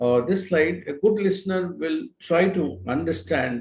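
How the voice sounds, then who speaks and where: A man speaks with a Telugu accent and a somewhat breathy voice. His pitch swings very widely. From India, Telugu-speaking region. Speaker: expert lecturer. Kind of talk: lecture. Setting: live online session. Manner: halting, many fillers.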